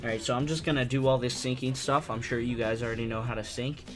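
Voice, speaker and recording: Fairly quick speech with fairly even intonation, audible room echo, and music in the background. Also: man. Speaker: video editing tutorial maker. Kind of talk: tutorial. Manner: quiet, not talking loud.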